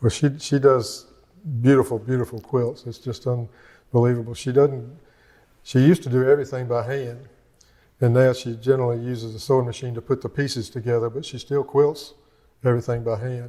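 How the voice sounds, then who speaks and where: At a fairly quick pace, a man talks in a monotone, flat intonation, somewhat breathy and with big swings in loudness. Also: medium pitch for a man, very clean recording, silent background. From US South, Georgia. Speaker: retired resident interviewee. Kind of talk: casual interview. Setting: indoor interview at community center. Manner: hesitant, many fillers and repeats.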